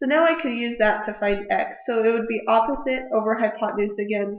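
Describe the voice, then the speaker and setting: Audible room echo surrounds a woman's voice. She talks at a fairly quick pace and a fairly high pitch. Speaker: math teacher. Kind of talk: tutorial.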